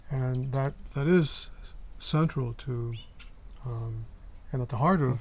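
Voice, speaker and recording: At a very slow pace with long, frequent pauses, a man talks at medium pitch in a somewhat breathy voice with fairly even intonation. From Mexico. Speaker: Buddhist practitioner, podcast co-host. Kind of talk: casual chat.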